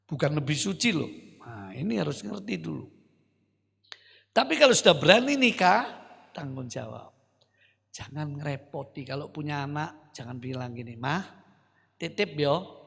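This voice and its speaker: A man with a fairly high, animated voice and vocal fry talks at a moderate pace, his lively intonation paired with big swings in loudness and long, frequent pauses. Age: 70s. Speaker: pastor. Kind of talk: sermon. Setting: church.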